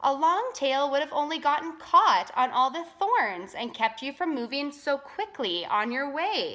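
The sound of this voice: A woman uses a put-on character voice with a bright, sharp tone and high pitch. Her pitch swings widely as she talks at a fairly slow pace.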